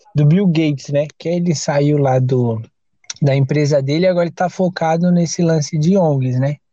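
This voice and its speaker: A man talks at a moderate pace in a fairly high, somewhat breathy voice. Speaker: podcast host. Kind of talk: casual chat; game show hosting. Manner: animated.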